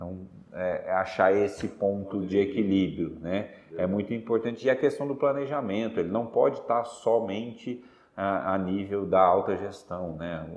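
The man talks at a moderate pace in a fairly low voice with ordinary pitch variation. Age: 30s. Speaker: agribusiness executive and seed producer. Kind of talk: interview. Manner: halting, frequent repetitions and fillers.

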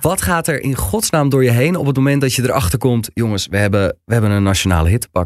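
A man with a medium pitch speaks at a very fast pace with hardly any pauses. His intonation is lively, and the recording is very clean with a silent background. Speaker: podcast host. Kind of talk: casual interview. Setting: studio.

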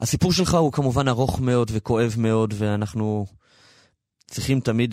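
A man speaks at a moderate pace and medium pitch with a dark, mellow tone. The recording is very clean with a silent background and a dry, close sound with no echo. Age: 30s. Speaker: radio host. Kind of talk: radio interview.

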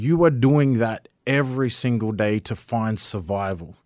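On a very clean recording with a silent background, the speaker uses ordinary pitch variation with an Australian accent. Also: man. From Far North Queensland, Australia. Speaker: political candidate. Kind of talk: interview.

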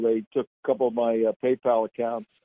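In a plain, everyday voice, a man with an American accent talks at a moderate pace and a medium pitch. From New Jersey. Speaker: national security commentator. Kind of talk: political talk radio interview.

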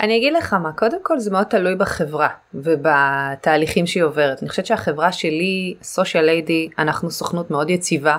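In an ordinary speaking voice with a fairly low pitch, a woman talks at a fairly quick pace with ordinary pitch variation and hardly any pauses. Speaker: digital marketing agency owner. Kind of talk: casual interview. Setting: remote call.

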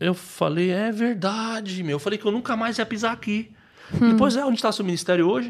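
A man's high-pitched voice has ordinary pitch variation. He talks at a very fast pace. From São Paulo outskirts, Brazil. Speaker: social missionary. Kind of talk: testimony. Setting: studio. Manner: casual slangy.

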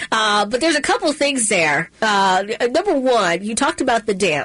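Against noticeable background noise, a woman with an American accent speaks with lively intonation. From Maryland, Middle River. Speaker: talk radio host. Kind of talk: talk radio.

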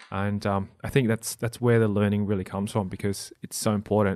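This man's intonation stays monotone and flat. He has an Australian accent. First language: non-English (family language). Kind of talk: casual interview.

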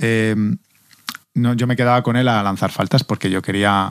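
A man speaks in an ordinary speaking voice at medium pitch. His pace is fairly quick. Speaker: podcast host, former footballer. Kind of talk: casual chat.

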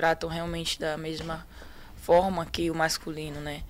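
At a moderate pace, a woman with a fairly low pitch speaks in an ordinary speaking voice. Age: 20s. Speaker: professional footballer. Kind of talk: interview.

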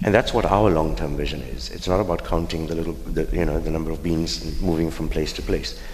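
The fairly quick speech has ordinary pitch variation, with audible room echo and noticeable background noise. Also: man, very deep, low pitch for a man. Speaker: politician. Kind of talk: panel discussion.

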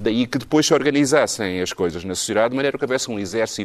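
This man speaks at a very fast pace. His pitch variation is ordinary. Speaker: musicologist. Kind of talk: panel discussion.

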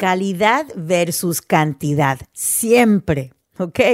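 A woman speaks at medium pitch, her voice swinging very widely. The sound is dry and close with no echo. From US Northeast, New Jersey; teen years in Houston, Texas. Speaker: radio host and podcaster. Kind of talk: personal monologue podcast.

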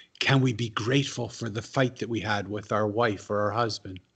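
Against a quiet background, a man with a medium pitch and a somewhat breathy voice speaks at a fairly quick pace with fairly even intonation. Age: 60s. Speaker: author and former monk. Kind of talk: interview. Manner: storytelling, vivid.

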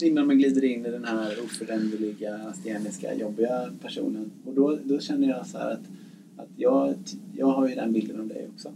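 This man talks at a moderate pace with big swings in loudness, over noticeable background noise and audible room echo. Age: 40s. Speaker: nurse. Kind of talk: casual chat. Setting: ship cabin. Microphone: poor sound quality.

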